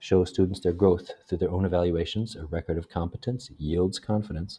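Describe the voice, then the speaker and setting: At a moderate pace, a man with a very deep, low pitch and a somewhat breathy voice talks with ordinary pitch variation, in a dry, close sound with no echo. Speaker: graduate student. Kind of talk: educational presentation narration. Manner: less whispery than before.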